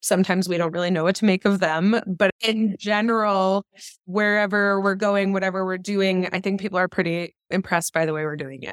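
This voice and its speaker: Recorded very cleanly with a silent background and a dry, close sound with no echo, a woman with an unremarkable speaking voice talks at a fairly quick pace and medium pitch, her intonation fairly even. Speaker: startup co-founder. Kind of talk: interview.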